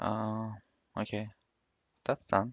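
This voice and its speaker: A speaker with a non-native accent. The sound is dry and close, with no echo. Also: man. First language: not English. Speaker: 3D graphics tutorial maker. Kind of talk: screen-recorded software tutorial. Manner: casual, thinking aloud.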